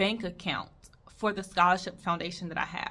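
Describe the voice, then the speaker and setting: A woman with an American accent talks at a fairly quick pace in an animated, bright, sharp tone. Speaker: nurse and video creator. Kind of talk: casual advice talk to camera. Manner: stutters.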